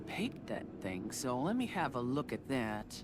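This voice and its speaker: Vocal fry runs through this voice as it moves at a fairly slow pace. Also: woman. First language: not English. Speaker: gaming streamer. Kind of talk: casual gameplay commentary. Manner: halting, many fillers.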